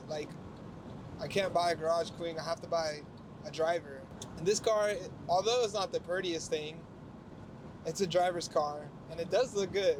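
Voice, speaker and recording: A man with a high pitch speaks fairly quickly with fairly even intonation. There is noticeable background noise. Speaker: car vlogger. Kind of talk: casual vlog talk while driving. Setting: in a convertible car while driving. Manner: halting with repetitions.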